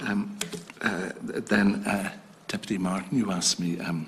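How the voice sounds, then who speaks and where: Speaking with an Irish accent, a man talks at a very slow pace with a fairly low pitch. His pitch variation is ordinary, and noticeable background noise sits behind him. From Ireland, County Tipperary. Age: 60s. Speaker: retired diplomat, council chair nominee. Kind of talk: parliamentary committee testimony. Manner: halting, hesitant.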